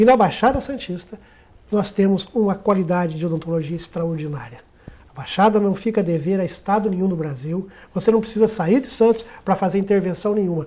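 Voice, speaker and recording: Fairly quick and high-pitched, a man speaks with ordinary pitch variation. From Minas Gerais, Brazil. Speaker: dentist, union director. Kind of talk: TV talk show interview. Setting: TV studio, live. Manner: formal, eloquent.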